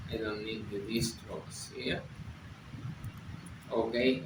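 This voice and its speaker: In a room with audible echo, a man of medium pitch speaks at a very slow pace. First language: Spanish. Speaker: software developer, tech video creator. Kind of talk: tutorial. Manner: halting.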